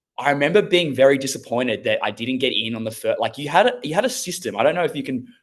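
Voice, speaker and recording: With an Australian accent, a man talks at a very fast pace, his pitch fairly high for a man and his intonation lively. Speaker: former plumber turned online business owner. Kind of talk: interview.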